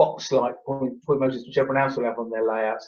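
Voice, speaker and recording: A man with an English accent talks in a fairly high voice. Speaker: model railway enthusiast showing his layout. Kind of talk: casual chat.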